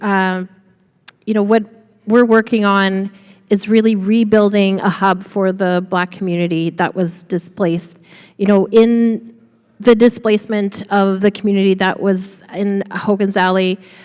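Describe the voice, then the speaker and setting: The pace here is fairly slow. A woman talks with monotone, flat intonation. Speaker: community land trust leader. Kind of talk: panel discussion.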